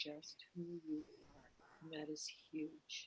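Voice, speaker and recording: A soft-spoken woman with a fairly low-pitched voice. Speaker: oracle priestess. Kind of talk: channeled spiritual message. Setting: live video stream.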